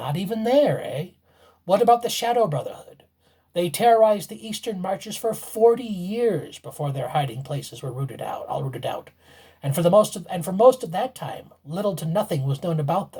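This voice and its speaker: A put-on character voice at a middle pitch and a fairly quick pace. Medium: read story. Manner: knowing, mischievous.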